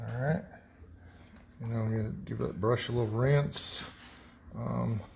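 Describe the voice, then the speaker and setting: Mumbling at a fairly slow pace, a man speaks in a room with audible echo. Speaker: painting instructor. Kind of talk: tutorial.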